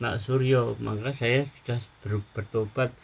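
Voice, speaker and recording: The voice is somewhat breathy, with monotone, flat intonation. It moves at a very slow pace. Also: man. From Central Java, Indonesia. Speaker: former shaman, convert. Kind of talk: casual conversation.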